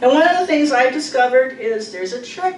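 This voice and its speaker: A woman with lively intonation talks at a fairly quick pace as noticeable background noise goes on behind her. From Pacific Northwest. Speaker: poet. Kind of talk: talk between poems at a reading. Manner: casual, hesitant.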